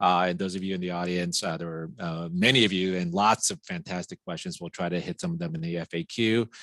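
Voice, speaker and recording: A man's very deep, low voice at a very fast pace, fairly even in intonation with hardly any pauses, dry and close with no echo over a quiet background. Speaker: company CEO and webinar host. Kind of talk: webinar discussion.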